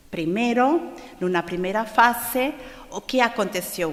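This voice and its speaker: Lively intonation marks this woman's speech, heard with noticeable background noise and audible room echo. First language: Portuguese (speaking Spanish). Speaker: conference speaker on spiritism. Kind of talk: lecture. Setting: stage with audience at a congress. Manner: slow, deliberate; halting, with fillers.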